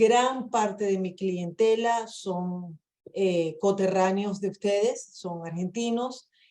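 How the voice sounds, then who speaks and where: Speaking at a very slow pace, a woman uses a dark, mellow tone at medium pitch with fairly even intonation. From Venezuela. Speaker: immigration lawyer. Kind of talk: webinar presentation. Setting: video call.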